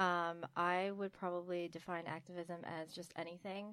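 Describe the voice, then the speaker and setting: In an ordinary speaking voice, a woman talks at a fairly low pitch with fairly even intonation on a very clean recording with a silent background. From mixed Egyptian, Kenyan, Pakistani and British background, immigrant to US. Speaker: women's rights activist. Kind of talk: roundtable discussion.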